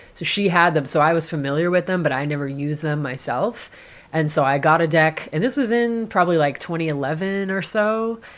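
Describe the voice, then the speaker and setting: Speaking at a fairly quick pace in a plain, everyday voice, a woman with an American accent has fairly low pitch and lively intonation. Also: very clean recording, silent background. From Massachusetts, Boston area. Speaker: tarot practitioner and social worker. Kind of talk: casual interview chat. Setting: treehouse studio in the hills.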